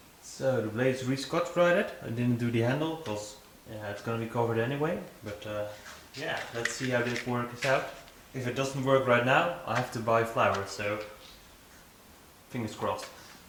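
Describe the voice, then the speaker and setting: There is noticeable background noise and audible room echo as the speaker goes at a moderate pace with long, frequent pauses. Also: man, medium pitch for a man, ordinary pitch variation. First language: not English. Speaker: knife maker. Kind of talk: workshop vlog narration. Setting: workshop. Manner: halting, many fillers.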